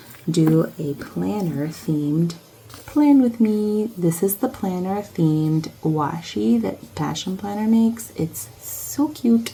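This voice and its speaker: A woman's fairly low voice at a very slow pace, with very wide pitch swings and noticeable background noise. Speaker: academic and planner vlogger. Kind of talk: casual vlog. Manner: soft-spoken; halting.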